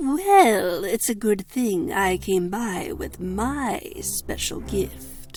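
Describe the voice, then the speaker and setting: A woman performs a cartoonish character voice at a very slow pace, with hardly any pauses. Clear background noise is present. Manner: sarcastic, menacing.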